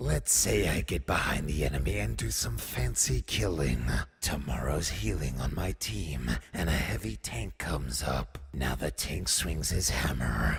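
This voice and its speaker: A man puts on a cartoonish character voice at a very deep, low pitch with ordinary pitch variation, and clear background noise can be heard. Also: moderate pace. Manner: exasperated, insistent.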